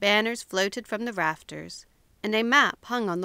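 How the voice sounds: Read in a natural reading voice, the words carry ordinary pitch variation.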